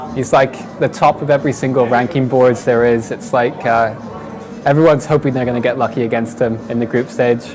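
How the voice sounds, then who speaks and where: A man with a British accent talks at a fairly quick pace. Audible room echo and noticeable background noise fill the recording. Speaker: esports player. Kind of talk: interview.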